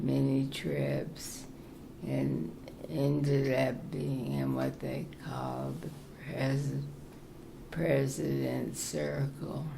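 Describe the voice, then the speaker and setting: Speaking very slowly with an American accent, a woman is heard with audible room echo and noticeable background noise. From US, military family (Morocco, Kansas). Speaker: retirement community resident. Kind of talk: interview.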